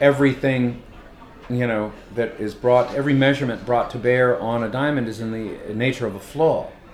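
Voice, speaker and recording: A man with an American accent talks at a moderate pace with fairly even intonation. Noticeable background noise runs underneath. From Los Angeles. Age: 50s. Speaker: poet and teacher. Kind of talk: casual interview. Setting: hotel bar. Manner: halting, many fillers and restarts.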